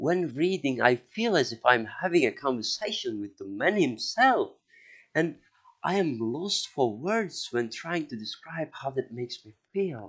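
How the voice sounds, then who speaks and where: At a fairly slow pace, a man with a fairly high pitch speaks with very wide pitch swings. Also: big swings in loudness. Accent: non-native. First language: not English; outside Indo-European group. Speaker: history podcaster. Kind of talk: podcast monologue. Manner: hesitant, many filler words.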